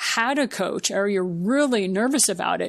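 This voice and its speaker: A woman has a plain, everyday voice at a medium pitch and a moderate pace. The recording is very clean with a silent background. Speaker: podcast host. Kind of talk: interview question.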